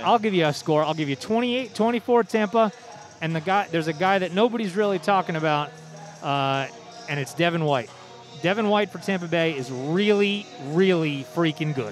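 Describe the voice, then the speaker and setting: The tone is animated, with lively intonation and a fairly quick pace. Music plays in the background. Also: man, high pitch for a man. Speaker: high school sports radio broadcaster. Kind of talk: live sports radio broadcast banter. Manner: conversational, opinionated, animated.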